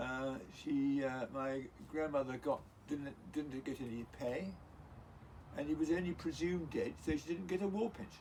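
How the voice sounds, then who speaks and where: Moderate pace and ordinary pitch variation from a man with a fairly high voice, broken by long, frequent pauses. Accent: English. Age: 70s. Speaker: grandfather interviewed by grandchild. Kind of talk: casual family interview, storytelling. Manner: halting, many fillers.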